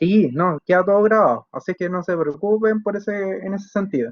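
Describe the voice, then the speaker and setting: A man talks at a fairly slow pace. His pitch is high, with ordinary variation. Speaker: engineering lecturer. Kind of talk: online lecture. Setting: video call class. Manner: halting, many fillers.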